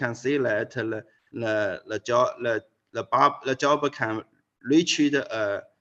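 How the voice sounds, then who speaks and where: A man with a Chinese accent speaks at a fairly slow pace. The background is quiet. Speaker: physics professor. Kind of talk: lecture. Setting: video call. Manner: halting.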